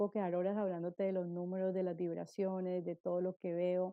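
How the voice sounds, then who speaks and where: A woman at medium pitch, at a fairly quick pace. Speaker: numerologist. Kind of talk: testimony. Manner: stutters.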